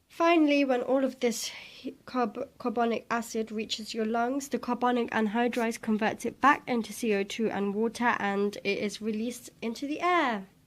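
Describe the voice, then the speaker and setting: A woman talks in a playful tone at a moderate pace and a high pitch. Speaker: science tutor. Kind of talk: educational explainer. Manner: casual, playful.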